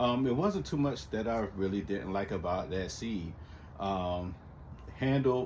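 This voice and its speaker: Room echo is audible around the voice. A man talks with ordinary pitch variation. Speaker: lawn care hobbyist vlogger. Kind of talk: casual chat. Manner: halting, many fillers.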